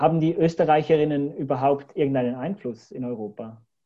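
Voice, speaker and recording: A man speaks in an ordinary speaking voice at a moderate pace, with ordinary pitch variation. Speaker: podcast host. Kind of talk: interview.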